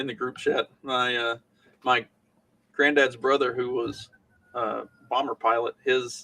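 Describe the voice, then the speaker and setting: A man speaks at a medium pitch with a strong Southern US accent and a bright, sharp tone. His delivery is very slow and monotone, broken by long, frequent pauses. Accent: thick Southern US. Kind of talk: casual chat.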